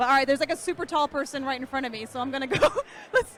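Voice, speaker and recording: A woman speaks loudly and very fast in a high, animated voice. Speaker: streamer interviewing attendees at a meetup. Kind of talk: casual event interviews. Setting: crowded indoor event.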